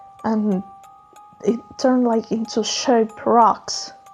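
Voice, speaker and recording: Over music in the background, a woman talks very slowly at a fairly high pitch. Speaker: artist. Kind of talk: unscripted storytelling voiceover. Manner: casual, rambling.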